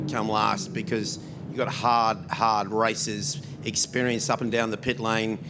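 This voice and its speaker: Male speech amid noticeable background noise and audible room echo. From New Zealand, Christchurch. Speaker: motorsport team representative. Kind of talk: press conference. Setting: press conference room.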